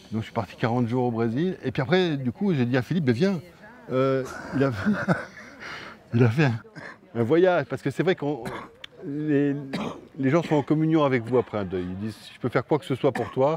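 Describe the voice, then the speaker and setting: Over noticeable background noise, a man speaks with lively intonation, big swings in loudness, and long, frequent pauses. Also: medium pitch for a man. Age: 50s. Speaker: film director and actor. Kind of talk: interview. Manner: halting, with repetitions.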